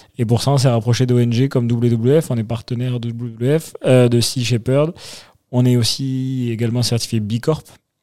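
A man's dark, mellow voice at a medium pitch, monotone and flat, at a fairly slow pace with big swings in loudness. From Toulouse, southwest France. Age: 30s. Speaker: wine company co-founder. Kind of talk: interview.

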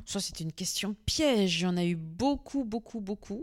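A woman's speech comes through on a very clean recording with a silent background. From northern France (Arras). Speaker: farmer. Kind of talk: interview. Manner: animated, with frequent repetitions.

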